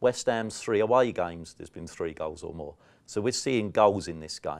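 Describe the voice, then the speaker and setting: A man speaks in a South London accent at a moderate pace. The recording is very clean, with a silent background. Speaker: football betting tipster. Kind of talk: podcast betting preview.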